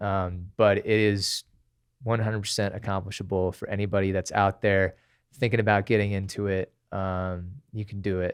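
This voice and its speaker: A man with an American accent speaks in a fairly low, monotone, flat voice. The pace is moderate and the background quiet. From Tempe, Arizona, US. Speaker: singer and musician. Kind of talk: casual chat.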